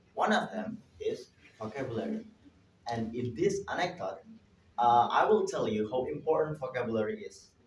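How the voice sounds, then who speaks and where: A man with an Indonesian accent speaks at a moderate pace in a fairly high pitch, with very wide pitch swings and long, frequent pauses. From Indonesia, Java. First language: Javanese. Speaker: linguist and language teacher presenting at a conference. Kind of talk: conference presentation. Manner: halting, with self-corrections.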